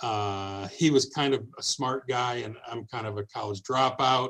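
In a Midwestern American accent, a man of medium pitch speaks at a fairly slow pace with fairly even intonation on a very clean recording with a silent background. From Detroit, Michigan. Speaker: radio program director. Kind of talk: casual interview.

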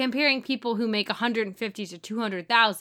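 Speaking at a fairly quick pace, a woman has an American accent and a bright, sharp tone. The recording is very clean, with a silent background. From St. Louis, Missouri (US Midwest). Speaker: podcast co-host. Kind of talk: casual chat.

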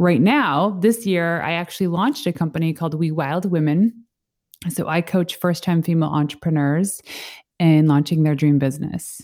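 In a Canadian accent, a normal speaking voice moves at a moderate pace with ordinary pitch variation. The recording is very clean, with a silent background. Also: woman, fairly low pitch for a woman. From Canada, Northern Ontario. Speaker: entrepreneur and business coach. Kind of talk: interview.

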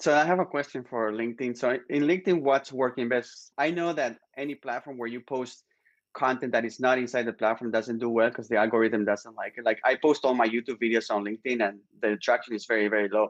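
In a Spanish accent, a man with a medium pitch speaks very fast, showing ordinary pitch variation. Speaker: video content creator, business owner. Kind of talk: interview.

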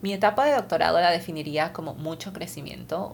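A woman with a fairly low pitch and fairly even intonation, with audible room echo. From Lima, Peru. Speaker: podcast host, scientist. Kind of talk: podcast monologue.

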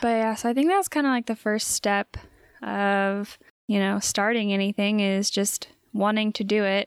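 A soft-spoken woman at medium pitch and moderate pace, her intonation fairly even and loudness very even, on a very clean recording with a silent background and a dry, close sound with no echo. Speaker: podcast host. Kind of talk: casual chat.

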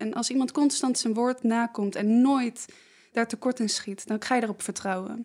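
An ordinary speaking voice with fairly even intonation goes at a moderate pace on a very clean recording with a silent background. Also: woman. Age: 20s. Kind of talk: casual conversation.

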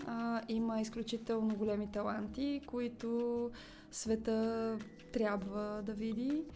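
A woman speaks at a very slow pace. Her fairly high voice stays flat and monotone. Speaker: actress. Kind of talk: interview.

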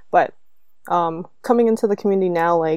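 A woman's very fast speech with a Canadian accent, medium in pitch, dark and mellow in tone, dry and close with no echo over a quiet background. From Canada. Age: 20s. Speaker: former co-host, podcaster. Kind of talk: casual chat.

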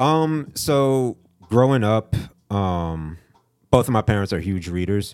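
With music playing in the background, a man in an American accent speaks at a very slow pace, leaving long, frequent pauses. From South Florida (Fort Lauderdale). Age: 30s. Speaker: graphic designer and photographer. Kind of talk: casual interview.

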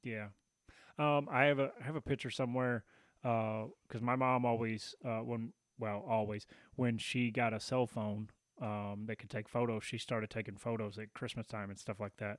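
A man with a Southern US accent and a medium-pitched voice talks at a moderate pace with fairly even intonation, in a very clean, dry, close recording with no echo and a silent background. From Tennessee. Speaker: podcast host. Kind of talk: casual chat.

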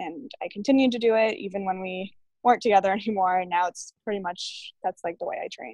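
With an American accent, a woman talks in a normal speaking voice at a medium pitch and a fairly quick pace, with ordinary pitch variation, big swings in loudness and a dry, close sound with no echo. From Massachusetts, Framingham (Boston area). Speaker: fitness trainer and powerlifter. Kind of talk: casual interview.

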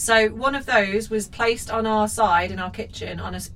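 The woman's medium pitch shows ordinary variation, with noticeable background noise present. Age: 30s. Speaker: podcast host. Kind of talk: casual chat.

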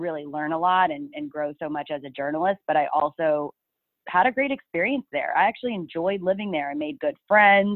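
Here is an unremarkable speaking voice: a woman with an American accent and a fairly low pitch. Her intonation is lively, and her pace is moderate. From Texas, Dallas area. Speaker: TV news reporter. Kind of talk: casual interview.

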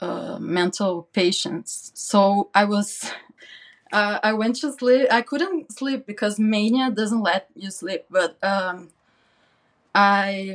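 This woman talks at a very slow pace with a non-native accent. Her pitch moves with ordinary variation. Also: medium pitch for a woman. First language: not English. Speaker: interview guest sharing mental health experience. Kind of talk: personal testimony in interview. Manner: halting, many fillers and repetitions.

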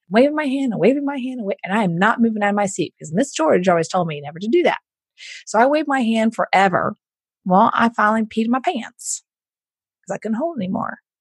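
Speaking very fast, a woman with an American accent sounds somewhat breathy, with very wide pitch swings. The sound is dry and close, with no echo. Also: fairly high pitch for a woman. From Houston, Texas. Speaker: entrepreneur and business coach. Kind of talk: interview.

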